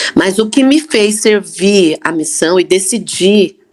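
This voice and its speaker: A woman speaks with very wide pitch swings. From Brazil, Campinas (São Paulo state). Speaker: church member sharing faith story. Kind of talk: testimony.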